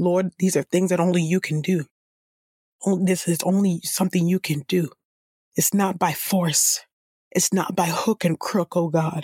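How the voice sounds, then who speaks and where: At a moderate pace with long, frequent pauses, a woman speaks in a fairly low, somewhat breathy voice with a dark, mellow tone, monotone, flat intonation and very even loudness, in a dry, close sound with no echo. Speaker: Bible reader and podcast host. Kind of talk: scripture reading, then fervent spoken prayer. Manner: earnest, pleading, repeating 'oh God' and 'oh Lord'; steady, measured reading of long lists of names.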